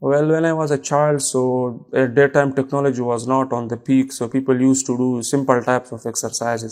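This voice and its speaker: A man with a Pakistani accent, medium pitch and a fairly quick pace, on a very clean recording with a silent background. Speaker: exam candidate, student. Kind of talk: mock speaking exam interview. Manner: hesitant, with many fillers.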